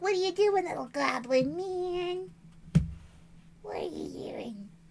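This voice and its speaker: Put-on character voice, high-pitched and raspy, at a fairly slow pace. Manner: sweet, coaxing.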